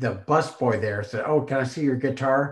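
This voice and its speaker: The man has a normal speaking voice. His pace is moderate, and his pitch varies in an ordinary way. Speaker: podcast host. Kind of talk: casual interview chat.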